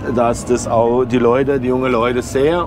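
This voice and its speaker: Over noticeable background noise, a man speaks at a moderate pace with fairly even intonation in a dry sound with no echo. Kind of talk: casual explanatory chat to viewers. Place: farm machine. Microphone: camera far.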